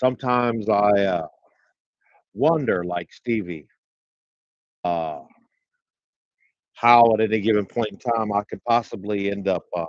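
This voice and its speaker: Speaking at a fairly slow pace with long, frequent pauses, a man uses a fairly low pitch and ordinary pitch variation. The sound is dry and close, without echo. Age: 60s. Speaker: solo livestream vlogger. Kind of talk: casual monologue. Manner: halting with many fillers.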